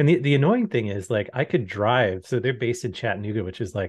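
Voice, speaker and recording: The voice is somewhat breathy and moves at a fairly quick pace with ordinary pitch variation. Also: man. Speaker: podcast co-host. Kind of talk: casual chat. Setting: video call.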